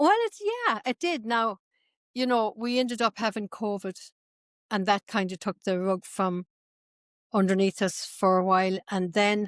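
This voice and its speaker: A woman with an Irish accent speaks at medium pitch and a moderate pace, with ordinary pitch variation. Her pauses are long and frequent, and the sound is dry and close with no echo. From northwest Ireland, Sligo. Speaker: tour company owner, former traditional singer. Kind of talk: interview.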